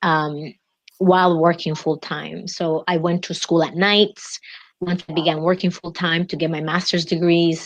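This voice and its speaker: The speaker talks at a fairly slow pace in a monotone, flat intonation with a Spanish accent. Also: woman, fairly low pitch for a woman. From Dominican Republic. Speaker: executive coach. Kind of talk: interview. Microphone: unstable internet connection.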